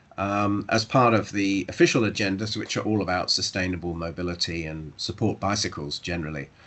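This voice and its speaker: Speaking with a southern English accent, a man keeps a fairly quick pace and a fairly low pitch, with hardly any pauses. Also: ordinary pitch variation. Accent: British, southern English. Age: old. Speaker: professor. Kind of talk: academic seminar talk.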